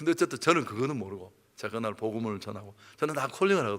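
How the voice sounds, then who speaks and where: Speaking at a very fast pace, a man uses very wide pitch swings in a bright, sharp tone. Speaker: pastor. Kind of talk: sermon. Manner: animated, hurried.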